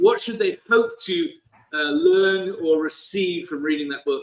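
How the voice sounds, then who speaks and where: Someone speaks at a moderate pace with a British accent. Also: man. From Britain. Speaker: company CEO and author. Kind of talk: interview. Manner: hesitant with many fillers.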